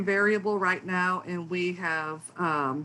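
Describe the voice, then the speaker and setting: Her intonation stays fairly even as this woman talks in a medium pitch. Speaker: academic researcher. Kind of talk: lecture. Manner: fast; hesitant with fillers.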